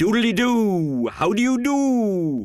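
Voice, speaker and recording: Over faint music in the background, a man puts on a sing-song character voice in a high pitch. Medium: read story. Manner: jolly, sing-song rhymes.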